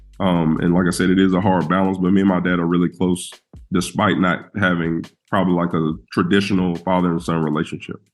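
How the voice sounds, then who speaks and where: Over music in the background, a man with a very deep, low pitch talks at a fairly quick pace in a monotone, flat intonation with very even loudness. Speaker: college basketball coach. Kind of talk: podcast interview. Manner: talkative, conversational.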